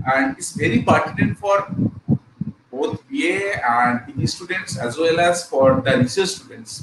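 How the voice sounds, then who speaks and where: Audible room echo and noticeable background noise accompany a man whose delivery is fairly slow. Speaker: college lecturer. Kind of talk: lecture. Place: home room.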